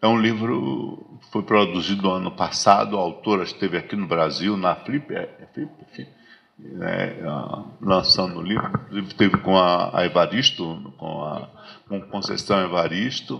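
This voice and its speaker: Over noticeable background noise, a man with a very deep, low pitch talks at a fairly slow pace, with big swings in loudness and lively intonation. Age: 60s. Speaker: lecturer on African philosophy. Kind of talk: lecture. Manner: halting, many repetitions.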